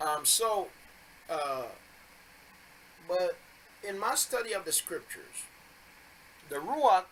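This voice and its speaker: Noticeable background noise surrounds a man whose voice sits at a high pitch. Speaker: bible teacher. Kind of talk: religious teaching video. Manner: halting with fillers.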